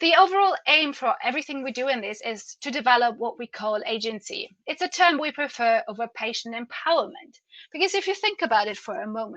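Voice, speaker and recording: A woman with a German accent speaks in a high, bright, sharp voice at a fairly quick pace with hardly any pauses. Her pitch swings very widely and her loudness swings a lot. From Germany. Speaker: patient advocate. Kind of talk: conference presentation.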